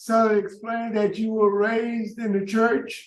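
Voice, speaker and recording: A man with a high-pitched voice. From Louisiana, New Orleans area. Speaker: parole board member. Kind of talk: formal hearing. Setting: parole board hearing. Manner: stuttering.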